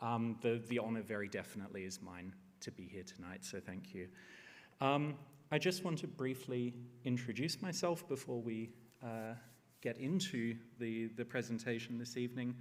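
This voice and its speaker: A man speaks at a medium pitch with lively intonation. There is audible room echo. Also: moderate pace. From Australia. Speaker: historian. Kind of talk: lecture. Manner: hesitant with many fillers.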